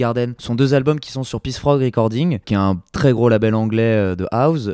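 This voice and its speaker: The voice has a dark, mellow tone and ordinary pitch variation. The sound is dry and close with no echo, on a very clean recording with a silent background. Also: man. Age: 20s. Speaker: record shop owner. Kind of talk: interview. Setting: record shop. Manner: halting, many fillers.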